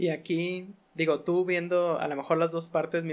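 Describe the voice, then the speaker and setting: Over a silent background in a very clean recording, a man with a Mexican accent speaks at a fairly slow pace and a fairly high pitch. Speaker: podcast host. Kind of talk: casual chat.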